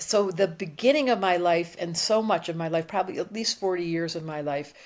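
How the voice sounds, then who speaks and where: In a very clean recording with a silent background, a woman speaks at a fairly low pitch in an animated tone. She moves at a fairly quick pace, with ordinary pitch variation. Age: 60s. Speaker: astrologer and psychotherapist. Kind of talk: casual interview conversation.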